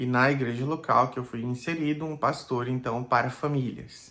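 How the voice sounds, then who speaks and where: The speaker goes at a fairly slow pace, with ordinary pitch variation. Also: man. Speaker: pastor. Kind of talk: personal video blog. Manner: hesitant, casual.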